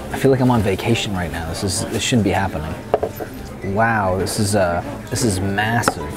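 Against loud background noise, a man speaks at a fairly quick pace with ordinary pitch variation. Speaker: food vlogger. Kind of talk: casual vlog chat. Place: cafe.

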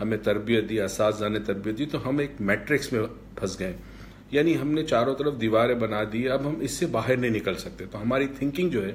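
A somewhat breathy male voice over light background noise. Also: ordinary pitch variation. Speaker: workshop trainer. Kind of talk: promotional talk to camera. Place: home room. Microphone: phone near.

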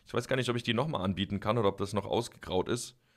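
Over a quiet background, a man talks at a very fast pace in a bright, sharp tone with vocal fry. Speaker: gaming YouTuber. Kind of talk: let's play commentary. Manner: casual, chatty. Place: home room.

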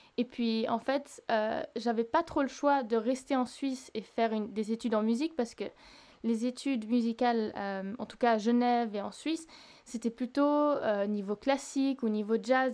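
Here is a woman with a plain, everyday voice, speaking at a moderate pace. Her pitch is fairly high and her intonation fairly even. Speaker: singer-songwriter. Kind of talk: interview. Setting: remote recording.

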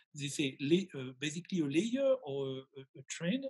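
With a French accent, a man speaks at a fairly slow pace, his pitch swinging very widely. The background is quiet. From rural France. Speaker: gemologist and webinar host. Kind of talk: casual interview. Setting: video call. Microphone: video call.

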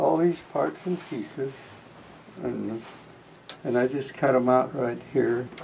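A man speaks at a very slow pace, with long, frequent pauses. His voice sits at a medium pitch, and his intonation is lively over light background noise. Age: 80s+. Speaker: quilter. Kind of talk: casual talk to camera. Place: home room. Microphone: camera far.

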